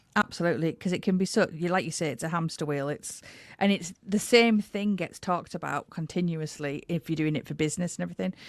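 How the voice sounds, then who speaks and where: Against a quiet background, a woman with an English accent speaks very fast at a fairly low pitch. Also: ordinary pitch variation. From England. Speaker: podcast host. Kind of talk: interview.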